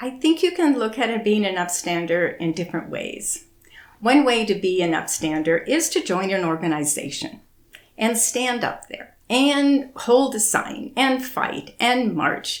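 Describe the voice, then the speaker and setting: Her pitch fairly high and swinging very widely, a woman speaks at a fairly slow pace. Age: 70s. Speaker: activist. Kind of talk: interview.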